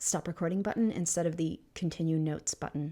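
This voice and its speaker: Quiet and at a moderate pace, a woman speaks in a very clean recording over a silent background. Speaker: podcast host. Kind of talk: podcast outro. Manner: quiet, subdued.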